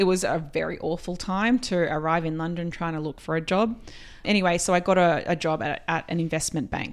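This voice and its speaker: Recorded very cleanly over a silent background, a woman with an Australian accent speaks at a fairly low pitch with fairly even intonation. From rural Australia, Queensland. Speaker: company CEO. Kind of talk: interview.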